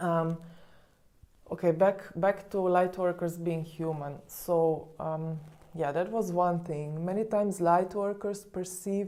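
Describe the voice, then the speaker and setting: Soft-spoken and very slow, the voice has a dark, mellow tone and fairly even intonation. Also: woman, fairly low pitch for a woman. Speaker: spiritual coach. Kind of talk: vlog monologue. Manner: hesitant, many fillers.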